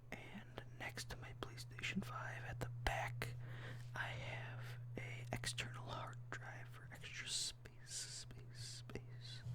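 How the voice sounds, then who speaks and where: A very slow whisper over noticeable background noise. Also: man. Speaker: ASMR content creator. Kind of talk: casual talk to camera, ASMR rambling. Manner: whispered, rambling.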